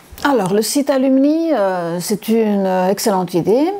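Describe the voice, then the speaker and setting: Lively intonation marks a woman's medium-pitched voice, with noticeable background noise. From Congo (Likasi) until 12, then Cyprus. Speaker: university lecturer. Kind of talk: testimony. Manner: halting, many hesitations.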